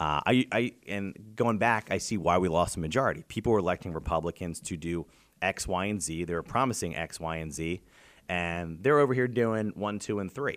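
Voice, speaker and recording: A man with a very deep, low pitch, ordinary pitch variation and an American accent. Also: moderate pace, very clean recording, silent background. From Pennsylvania, York County. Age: 30s. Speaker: state legislator. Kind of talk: casual interview. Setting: in person interview.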